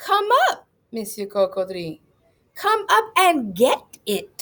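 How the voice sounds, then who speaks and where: A woman's whiny, put-on character voice, fairly high in pitch and very slow. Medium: read story. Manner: whining, cajoling.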